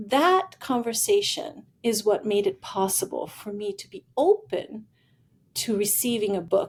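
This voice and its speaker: Somewhat breathy, a woman speaks at a fairly slow pace with very wide pitch swings and big swings in loudness. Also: fairly high pitch for a woman. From Italy. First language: Italian. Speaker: futurist and executive coach. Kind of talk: podcast interview, personal storytelling.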